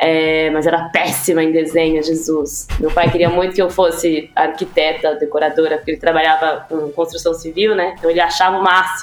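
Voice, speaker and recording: A woman's fairly low voice at a moderate pace, monotone and flat, with noticeable background noise. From São Paulo, Brazil (East Zone). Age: 30s. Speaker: advertising production lead. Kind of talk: casual interview.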